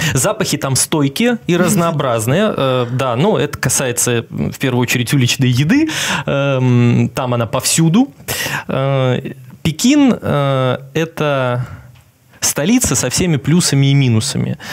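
A man's very slow speech with ordinary pitch variation. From Belarus. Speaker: journalist and TV correspondent. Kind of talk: casual interview chat. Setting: studio. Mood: relaxed, smiling. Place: studio. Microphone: headset.

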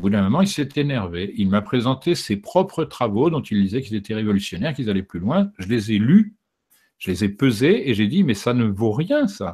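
A man's somewhat breathy voice, dark and mellow in tone, with very wide pitch swings at a moderate pace over a quiet background. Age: 60s. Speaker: documentary filmmaker and author; interviewee. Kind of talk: interview. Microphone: studio mic.

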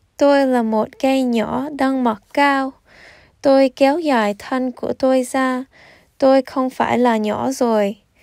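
A high-pitched woman's voice at a very slow pace, fairly even intonation, dry and close with no echo, in a very clean recording with a silent background. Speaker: storytime reader. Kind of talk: children's storytime reading with movement.

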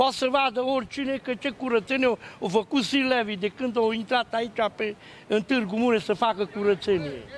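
A man speaks at a moderate pace with an extremely high pitch and ordinary pitch variation, with light background noise. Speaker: sanitation worker facing dismissal. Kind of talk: street interview, aggrieved. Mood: aggrieved, indignant. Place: street. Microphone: handheld.

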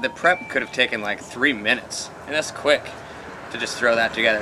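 There is noticeable background noise as a man talks at a fairly quick pace. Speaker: web show host. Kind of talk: casual review commentary. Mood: jokey, relaxed. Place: garden.

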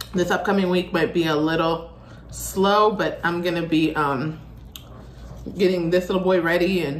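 A woman at a fairly low pitch with fairly even intonation and a moderate pace, amid light background noise and audible room echo. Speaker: food vlogger. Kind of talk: casual vlog chat. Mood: relaxed, friendly. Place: home room. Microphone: phone near.

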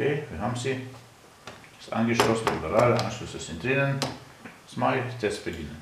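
Loud background noise and audible room echo surround a man whose loudness swings widely and who pauses long and often. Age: 50s. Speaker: natural health activist; product demonstrator. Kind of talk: product demonstration. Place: studio. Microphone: camera far.

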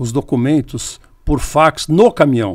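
Against a quiet background, a man speaks. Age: 70s. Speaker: trade journalist and publisher; guest journalist. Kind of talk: interview conversation. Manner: halting, with repetitions. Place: studio. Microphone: studio mic.

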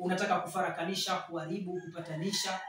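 A man's raised, projected voice at a moderate pace, with light background noise and audible room echo. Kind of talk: promotional talk to camera. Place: classroom.

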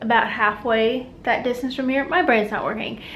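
In a room with audible echo, a woman speaks at a fairly high pitch with fairly even intonation. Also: fairly bright tone.

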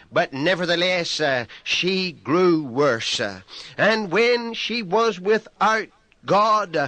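In a raised, projected voice with a bright, sharp tone, a man speaks very slowly with ordinary pitch variation. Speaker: pastor, preacher. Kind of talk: sermon, radio broadcast preaching.

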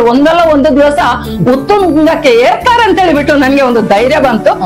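A high-pitched woman's voice with very wide pitch swings over clear music in the background. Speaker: retired primary school teacher. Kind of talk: interview answer. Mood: warm, emotional, often smiling. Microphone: lapel.

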